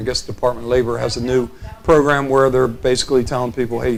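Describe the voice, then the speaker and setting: Very fast, monotone, flat delivery against noticeable background noise. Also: man. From Sussex County, Delaware. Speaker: state senate candidate. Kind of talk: interview. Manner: halting.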